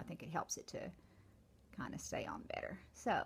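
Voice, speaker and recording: A woman talks at a fairly quick pace. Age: 60s. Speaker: makeup vlogger. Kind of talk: makeup tutorial. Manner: casual, chatty.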